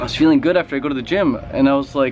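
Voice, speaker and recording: Over noticeable background noise, a man talks at a very fast pace. His tone is animated, with lively intonation. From Western Canada (Vancouver). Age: 20s. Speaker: fitness and raw food YouTuber. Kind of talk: vlog rant.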